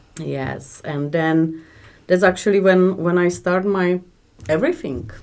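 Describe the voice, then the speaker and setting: A woman with a strong Czech accent speaks at a fairly slow pace and a fairly low pitch. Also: ordinary pitch variation. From Czech Republic. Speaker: business owner. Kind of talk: interview. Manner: halting.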